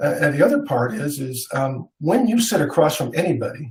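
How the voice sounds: A man's medium-pitched, slightly mellow voice with lively intonation.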